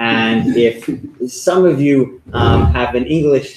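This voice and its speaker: Lively intonation marks this voice with a New York accent. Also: man. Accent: New York American. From US, New York. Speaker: author and former history professor. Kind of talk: lecture.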